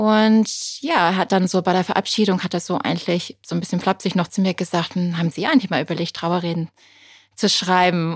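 This woman has a normal speaking voice, fairly low in pitch, with fairly even intonation and a fairly quick pace. The recording is very clean with a silent background and a dry, close sound with no echo. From Britain. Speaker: funeral speaker and journalist. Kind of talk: interview conversation.

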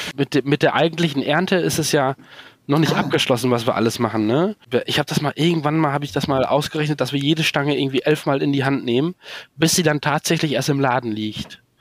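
Very fast and fairly high in pitch, a man talks with ordinary pitch variation in a dry, close sound with no echo. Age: 40s. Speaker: organic asparagus farmer. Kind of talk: interview. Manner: halting.

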